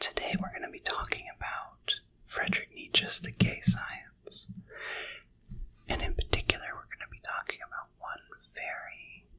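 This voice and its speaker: A man whispers at a moderate pace, with big swings in loudness and long, frequent pauses. Noticeable background noise is present. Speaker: philosophy ASMR tutor. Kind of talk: ASMR philosophy tutoring with quoted passages. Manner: whispered, soft.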